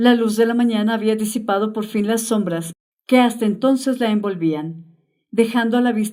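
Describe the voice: The delivery is plain reading aloud with fairly even intonation. The background is quiet.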